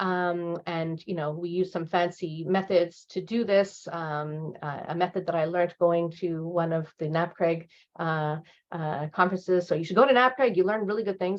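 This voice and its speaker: Her pitch fairly low, a woman speaks with ordinary variation in it. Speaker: professor and researcher. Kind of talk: lecture. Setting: seminar presentation. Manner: fast; halting, many fillers and repetitions.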